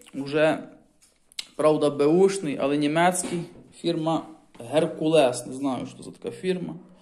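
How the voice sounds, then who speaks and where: A man talks at a fairly slow pace with fairly even intonation. There is light background noise. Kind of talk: casual vlog chat. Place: home room.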